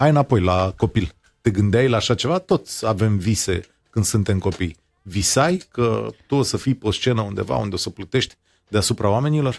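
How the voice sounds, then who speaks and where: An ordinary speaking voice with lively intonation moves along at a moderate pace. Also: man, fairly low pitch for a man, very clean recording, silent background. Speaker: radio host. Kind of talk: interview.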